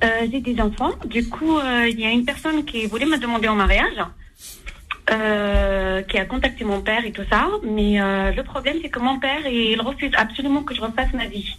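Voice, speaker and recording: Over noticeable background noise, a woman speaks at a moderate pace in a fairly high voice with ordinary pitch variation. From Algerian heritage. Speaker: caller. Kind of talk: call-in question.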